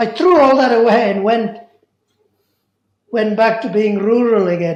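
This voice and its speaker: Fairly high-pitched woman's voice at a moderate pace, ordinary pitch variation, and audible room echo. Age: 70s. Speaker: memoir subject. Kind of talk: interview.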